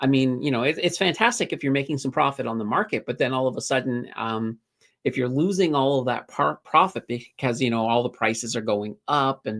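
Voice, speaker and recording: Someone speaks with a Maritime Canadian accent. The recording is very clean, with a silent background. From Nova Scotia, Canada (Halifax). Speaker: finance YouTuber. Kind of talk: livestream chat reading viewer questions. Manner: casual, filler-heavy.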